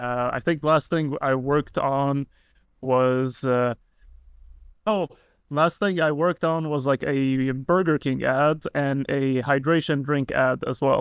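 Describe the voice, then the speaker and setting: Over a quiet background, a man with an Arabic accent talks very slowly in a fairly high voice with fairly even intonation, the sound dry and close without echo. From Lebanon. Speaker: YouTuber and video editor. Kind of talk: casual podcast chat.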